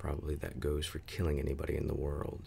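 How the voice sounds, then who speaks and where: A man whispers in a calm tone. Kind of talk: ASMR book reading. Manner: soft-spoken, calm.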